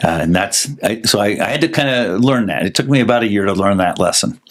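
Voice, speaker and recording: Speaking at a fairly quick pace, a man with a fairly low pitch uses ordinary pitch variation over noticeable background noise. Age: 60s. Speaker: election-integrity investigator. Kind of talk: interview.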